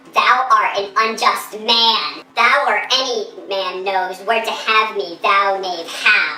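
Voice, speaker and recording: At a fairly slow pace, a woman uses a put-on character voice with a fairly high pitch and a slight echo. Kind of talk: Shakespearean verse acting. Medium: short film. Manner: excitable, protesting.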